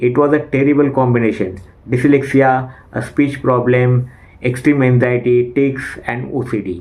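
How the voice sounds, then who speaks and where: Speaking with an Indian accent, a man uses medium pitch and ordinary pitch variation. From India, Maharashtra. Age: 40s. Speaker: English learner and YouTuber. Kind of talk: personal testimony. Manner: speech disfluency.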